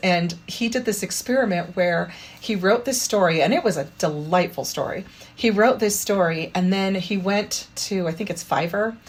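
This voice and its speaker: Here a woman speaks at a medium pitch with ordinary variation. Her voice is somewhat breathy. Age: 50s. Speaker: parkour practitioner and children's book author. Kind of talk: interview answer. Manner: casual, chatty.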